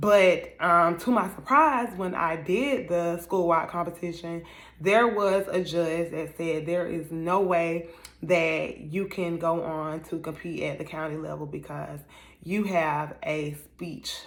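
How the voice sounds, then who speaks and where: In a room with audible echo, a woman with fairly low pitch speaks at a very slow pace with ordinary pitch variation. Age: 30s. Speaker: motivational speaker and life coach. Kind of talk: motivational talk. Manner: halting, with fillers and restarts.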